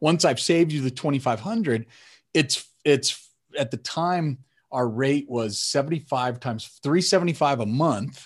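A man with a normal speaking voice and a fairly high pitch talks at a moderate pace with ordinary pitch variation, in an American accent against a quiet background. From Colorado, US. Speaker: sales podcast host, tech CEO. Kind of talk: casual interview chat.

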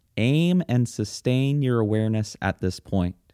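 Speaking at a fairly slow pace, a man uses a calm, soothing tone that is also dark and mellow. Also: dry, close sound with no echo, very clean recording, silent background. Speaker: meditation teacher. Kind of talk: guided meditation. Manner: slow, calm, soothing; gentle, unhurried, with long silent pauses.

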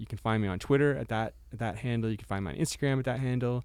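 A man talks with an unremarkable speaking voice at medium pitch. His intonation is fairly even. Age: 40s. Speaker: startup investor. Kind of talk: casual chat. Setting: studio.

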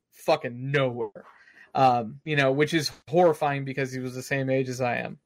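On a very clean recording with a silent background, a man with an American accent talks at a moderate pace and medium pitch in an unremarkable speaking voice. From Texas, Austin. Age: 30s. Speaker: gaming podcast host. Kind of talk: casual chat.

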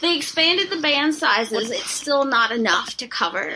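Someone speaks with an American accent against noticeable background noise. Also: woman. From rural Texas. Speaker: fat activist. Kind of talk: casual chat.

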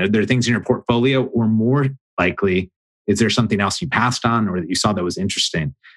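Talking at a fairly quick pace, a man with a fairly low pitch and ordinary pitch variation has an unremarkable speaking voice. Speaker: podcast host. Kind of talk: interview.

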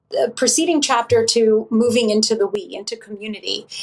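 Here a woman speaks in a high pitch. Her pitch variation is ordinary. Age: 40s. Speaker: author and meditation teacher. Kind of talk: casual chat.

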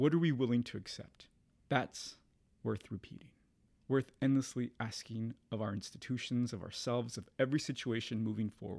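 A man talks at a moderate pace in a medium pitch with fairly even intonation, an unremarkable speaking voice. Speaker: podcast host and artist. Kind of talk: guided meditation. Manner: hushed, gentle, with long pauses.

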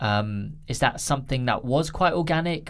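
Speaking in a London accent, a man keeps a moderate pace and a medium pitch with ordinary pitch variation. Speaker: podcast host. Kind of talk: casual chat.

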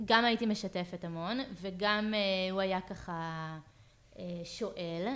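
This woman's voice sits at a medium pitch, with fairly even intonation. She speaks at a very slow pace, and the recording is very clean with a silent background. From Israel, Hefer Valley moshav. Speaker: real estate agent. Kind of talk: interview.

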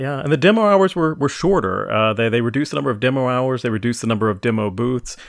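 Talking at a very fast pace with hardly any pauses, a man at medium pitch uses lively intonation. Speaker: podcast host. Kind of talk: casual chat.

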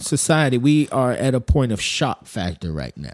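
In a very clean recording with a silent background and a dry, close sound with no echo, a man speaks at medium pitch in an animated tone. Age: 40s. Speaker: architect and military veteran. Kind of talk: casual chat.

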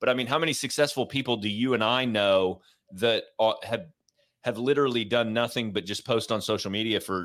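Here is a man with a plain, everyday voice. His pitch is medium, with ordinary variation. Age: 40s. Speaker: podcast host, military veteran and former corporate employee. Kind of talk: casual interview chat.

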